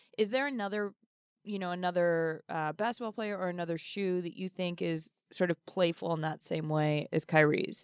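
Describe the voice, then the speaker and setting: An unremarkable speaking voice with an American accent, moderate pace and ordinary pitch variation, dry and close with no echo. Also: woman, fairly low pitch for a woman. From Boston, Massachusetts. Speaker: sports writer and podcast host. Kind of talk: casual panel discussion.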